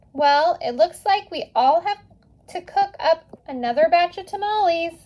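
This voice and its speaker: A woman uses a squeaky, put-on character voice at an extremely high pitch. She speaks at a moderate pace with ordinary pitch variation. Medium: read story.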